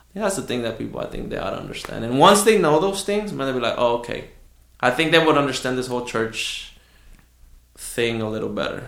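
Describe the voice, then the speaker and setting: Audible room echo surrounds a man with a medium pitch. He talks at a very fast pace with very wide pitch swings. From Southwest Houston, Texas (moved from Mexico at nine). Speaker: pastor. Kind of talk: casual interview. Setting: studio, face to face.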